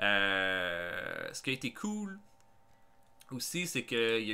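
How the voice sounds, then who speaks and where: A man with a Quebec accent talks at a medium pitch in a bright, sharp tone, his pitch swinging very widely. The recording is very clean, with a silent background. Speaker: gaming YouTuber. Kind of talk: casual vlog monologue. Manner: hesitant, many fillers.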